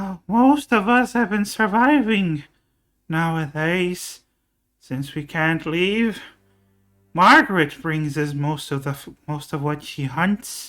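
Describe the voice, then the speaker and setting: Music plays behind a put-on character voice at middle pitch, delivered at a fairly slow pace. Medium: actual play. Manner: doting, calls others dearie.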